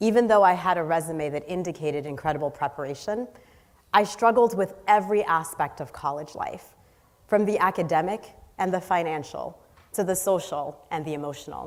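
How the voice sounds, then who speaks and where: An ordinary speaking voice from a woman with an American accent, fairly low in pitch with ordinary pitch variation, at a fairly quick pace. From US Northeast, inner city Boston. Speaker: social entrepreneur. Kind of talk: inspirational talk. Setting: stage with audience.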